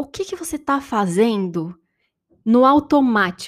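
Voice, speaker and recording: The speaker has a Brazilian accent and a fairly slow pace. Their pitch swings very widely. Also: woman. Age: 30s. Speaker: podcast host and life-transition coach. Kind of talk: reflective solo podcast monologue.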